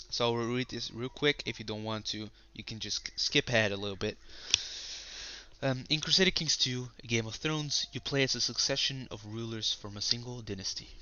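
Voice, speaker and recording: A man with a Dutch accent at a fairly quick pace. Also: medium pitch for a man, ordinary pitch variation. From Netherlands. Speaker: gaming YouTuber. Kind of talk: reading aloud; gameplay commentary.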